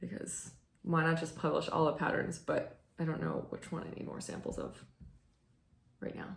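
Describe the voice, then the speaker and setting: A woman with a fairly low pitch and vocal fry speaks at a moderate pace. Her speech has long, frequent pauses, and the room echo is audible. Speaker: knitting video host and church musician. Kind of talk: casual chat. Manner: hesitant, many fillers.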